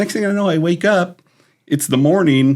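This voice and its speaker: Animated in tone, a man talks at a moderate pace with lively intonation. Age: 60s. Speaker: retired sheriff's deputy. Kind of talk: casual chat.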